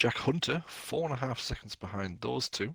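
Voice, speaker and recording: This is a man talking with a northern English accent. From northern England. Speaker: esports race commentator. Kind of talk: live commentary.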